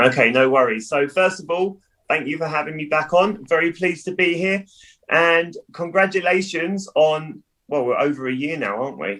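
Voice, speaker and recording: A man with a southern English accent at a moderate pace. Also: fairly high pitch for a man, ordinary pitch variation. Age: 30s. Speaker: businessman and cheerleading coach. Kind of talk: casual chat.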